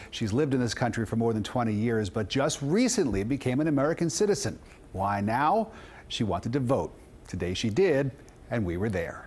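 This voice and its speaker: A man talks at a fairly quick pace, his pitch swinging very widely. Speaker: TV news reporter. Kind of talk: TV news report. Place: studio.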